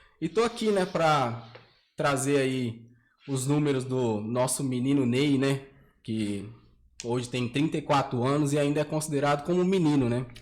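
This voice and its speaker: A man talks at a moderate pace with a fairly high pitch and ordinary pitch variation. His is a normal speaking voice. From São José do Rio Preto, São Paulo state, Brazil. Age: 30s. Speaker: debate guest, logistics coordinator. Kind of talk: casual debate.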